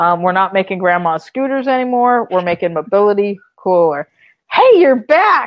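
In an American accent, a woman with an unremarkable speaking voice talks at a moderate pace and medium pitch with lively intonation. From US, Florida (Orlando area). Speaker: entrepreneur, company founder. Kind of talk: interview. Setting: video call.

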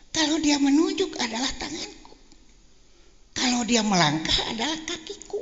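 An extremely high-pitched man with lively intonation, amid audible room echo and noticeable background noise. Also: moderate pace. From West Java (Banjar). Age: 70s. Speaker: elder cleric, politician. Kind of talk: religious talk. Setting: religious gathering with audience.

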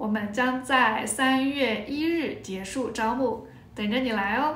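A woman's high-pitched voice at a very slow pace, with ordinary pitch variation and audible room echo. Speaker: Chinese language teacher. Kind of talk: casual talk to camera. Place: home room. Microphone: phone near.

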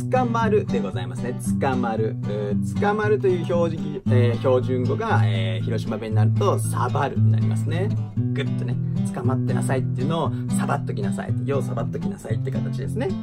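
Loud music fills the background while a man speaks at a fairly quick pace. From Hiroshima, Onomichi. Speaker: actor. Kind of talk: casual talk to camera. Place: studio. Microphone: phone near.

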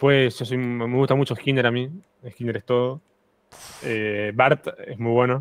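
Over a dry sound with no echo, a man speaks in a monotone, flat intonation at a fairly slow pace, leaving long, frequent pauses. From Argentina. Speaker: guest streamer; guest. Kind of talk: casual chat. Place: home room. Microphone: studio mic.

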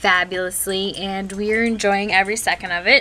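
A woman's bright, sharp voice holds a monotone, flat intonation. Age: 20s. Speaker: vlogger. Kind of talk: casual vlog intro. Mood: friendly, upbeat. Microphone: webcam.

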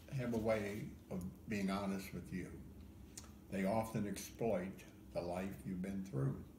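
With an American accent, a man speaks at a fairly slow pace and a fairly low pitch, leaving long, frequent pauses. Audible room echo and light background noise are present. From Ohio. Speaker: poet. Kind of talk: poetry reading. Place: home room. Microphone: phone near.

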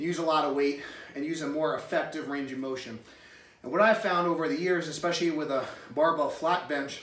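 A man talks at a fairly quick pace with ordinary pitch variation, and audible room echo surrounds his voice. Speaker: strength coach. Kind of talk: fitness advice talk to camera. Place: garage. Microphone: camera far.

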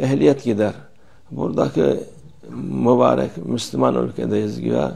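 A man speaks at a very slow pace over a quiet background. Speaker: religious teacher. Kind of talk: religious talk. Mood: calm, admonishing. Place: home room. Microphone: lapel.

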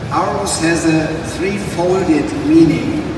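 Over noticeable background noise and strong room echo, a man talks at a very slow pace with ordinary pitch variation. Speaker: presenter. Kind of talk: press presentation speech. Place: hall.

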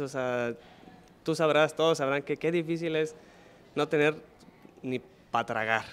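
This man's voice sits fairly high in pitch, with ordinary variation. He talks at a fairly quick pace. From Mexico, Nuevo León (Monterrey area); Nuevo León, Mexico. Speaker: Olympic diver. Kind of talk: interview. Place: hall. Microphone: handheld.

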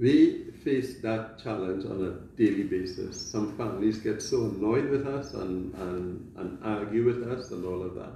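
Audible room echo surrounds a dark, mellow tone that moves at a fairly slow pace with few pauses and ordinary pitch variation. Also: man, fairly low pitch for a man.

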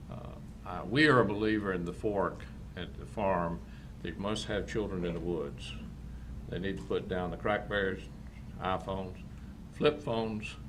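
With a North Carolina accent, a man speaks in a very deep, low pitch with very wide pitch swings and long, frequent pauses, all in audible room echo. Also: moderate pace. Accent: Southern US (North Carolina). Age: 70s. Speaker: farm and shooting facility owner. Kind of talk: public comment at council meeting. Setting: county board meeting.

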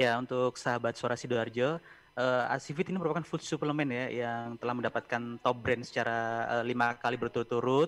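With fairly even intonation, a man speaks very fast. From East Java. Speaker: pharmaceutical promotion manager; guest. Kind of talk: interview. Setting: video call. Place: home room. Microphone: video call.

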